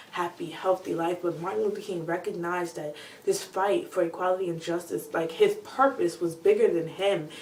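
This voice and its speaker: A woman's fairly low voice over noticeable background noise, fairly quick and with hardly any pauses, its pitch variation ordinary. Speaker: video blogger. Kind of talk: casual talk to camera. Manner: fast.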